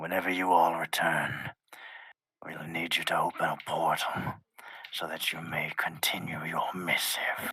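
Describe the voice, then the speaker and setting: Whispering in a put-on character voice, a man speaks at a moderate pace. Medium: actual play. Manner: measured, formal, reserved.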